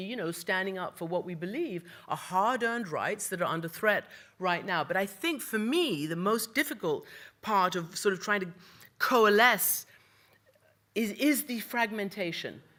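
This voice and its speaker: A woman with an ordinary speaking voice and a medium pitch talks with lively intonation on a very clean recording with a silent background. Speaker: news anchor and international correspondent. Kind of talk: panel talk / speech on media and film.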